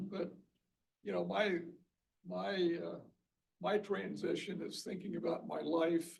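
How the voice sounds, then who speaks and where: A man speaks at a fairly slow pace in a space with audible room echo. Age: 70s. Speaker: Bible study participant. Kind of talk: group discussion.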